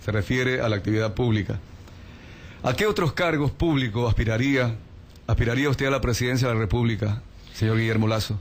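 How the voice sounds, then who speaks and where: Somewhat breathy, a man at a medium pitch talks at a fairly quick pace with long, frequent pauses, very even loudness and ordinary pitch variation. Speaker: radio interviewer. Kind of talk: radio interview. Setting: radio studio.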